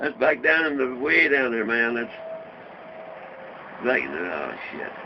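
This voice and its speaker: Noticeable background noise surrounds a man speaking at a fairly slow pace with a Southern US accent. His intonation is lively. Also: medium pitch for a man. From Ripley, Tennessee. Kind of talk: interview answer. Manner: casual, profane storytelling.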